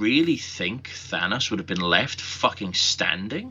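A man is speaking. He talks with a Welsh accent. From Wales. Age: 30s. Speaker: podcast co-host. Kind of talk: casual chat. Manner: animated.

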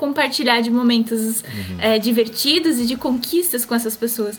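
A woman talks with fairly even intonation. Noticeable background noise sits behind her. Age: 20s. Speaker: online content creator. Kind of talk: casual chat.

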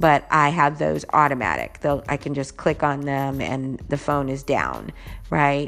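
A woman's very deep, low voice at a moderate pace, with music in the background. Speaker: podcast host. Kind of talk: solo podcast monologue.

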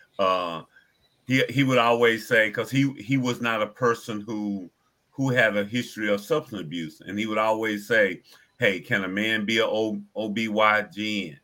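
A man speaks at a fairly slow pace with a fairly low pitch. His tone is bright and sharp, and his pitch variation is ordinary. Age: 60s. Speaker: addiction recovery ministry director. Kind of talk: talk show interview.

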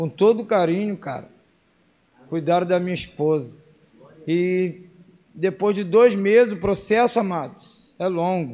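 A man's high-pitched, dark, mellow voice at a fairly slow pace, with ordinary pitch variation and long, frequent pauses. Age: 30s. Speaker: preacher. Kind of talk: sermon. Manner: emotional.

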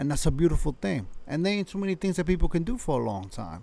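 A man with a fairly high pitch, a dark, mellow tone and vocal fry speaks fast with big pitch swings.

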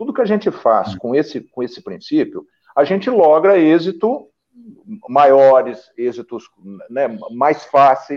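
The speaker talks at a fairly slow pace with long, frequent pauses. The pitch swings very widely. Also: man, fairly high pitch for a man. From Brazil, interior of São Paulo and Paraná. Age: 50s. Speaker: journalist and political campaign coach. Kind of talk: casual interview chat. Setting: online live stream. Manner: animated, frequent laughter; repetitive, halting restarts.

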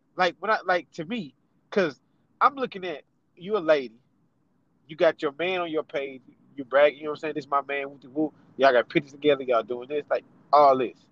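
Speaking very fast yet with long, frequent pauses, a man with a fairly high pitch shows ordinary pitch variation and big swings in loudness in a dry, close sound with no echo. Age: 30s. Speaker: podcast co-host. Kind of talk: casual chat.

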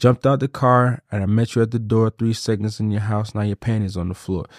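In a plain, everyday voice, a man speaks at a fairly quick pace and medium pitch with fairly even intonation, the sound dry and close with no echo over a quiet background. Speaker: podcast host. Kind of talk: casual banter, comedic chat.

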